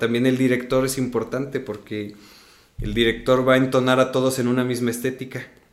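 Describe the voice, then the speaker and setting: A man at a medium pitch speaks in a monotone, flat way at a moderate pace, with audible room echo. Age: 30s. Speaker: stage actor. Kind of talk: casual interview.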